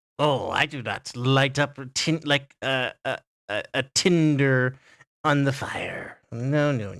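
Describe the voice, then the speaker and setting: A man uses a put-on character voice at a fairly high pitch and a fairly slow pace. The recording is very clean, with a silent background. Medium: actual play. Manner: sly, covetous, imperious.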